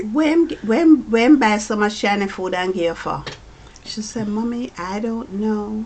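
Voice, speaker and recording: A woman talks fairly slowly in a fairly high voice. Her intonation is lively, with noticeable background noise behind her. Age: 70s. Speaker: mother of the channel host. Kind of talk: casual chat.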